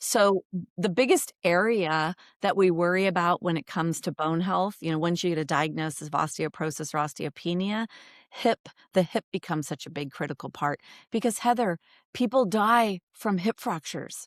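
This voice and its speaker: A woman with an ordinary speaking voice, fairly low-pitched, at a moderate pace with ordinary pitch variation, in a very clean recording with a silent background and a dry, close sound with no echo. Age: 60s. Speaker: yoga therapist, bone health coach. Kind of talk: interview conversation.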